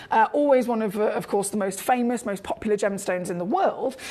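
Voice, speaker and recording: A woman speaks with a British accent and ordinary pitch variation. Noticeable background noise runs underneath. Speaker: TV shopping presenter. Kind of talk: live sales pitch. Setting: studio. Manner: fast, chaotic.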